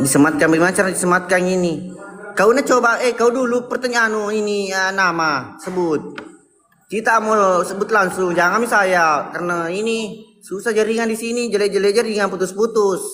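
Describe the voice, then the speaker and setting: Over music in the background, a high-pitched man talks at a fairly quick pace. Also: ordinary pitch variation. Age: 20s. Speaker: comedian. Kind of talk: casual live-stream chat.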